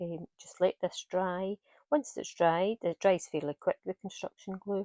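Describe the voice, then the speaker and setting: In a Scottish accent, a woman with a dark, mellow tone and fairly even intonation speaks over a quiet background with a dry, close sound with no echo. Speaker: craft tutor. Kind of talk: tutorial. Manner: hesitant, many fillers.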